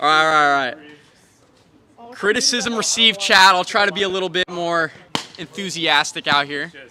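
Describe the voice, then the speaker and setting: Over noticeable background noise, a man with a high pitch talks at a moderate pace with lively intonation, big swings in loudness, and long, frequent pauses. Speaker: live-stream wiffle ball commentator. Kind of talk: live commentary.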